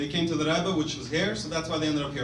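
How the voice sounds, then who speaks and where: A man in a New York accent is heard with audible room echo and noticeable background noise. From Brooklyn, New York (Crown Heights). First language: Russian. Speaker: former soldier and pre-med student. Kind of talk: speech to an audience. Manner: casual, halting with fillers.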